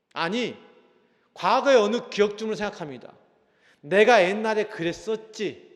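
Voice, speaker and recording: A man with high pitch speaks at a fairly slow pace, leaving long, frequent pauses. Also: ordinary pitch variation. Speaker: pastor. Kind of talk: sermon. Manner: strong intonation; not calm, intense.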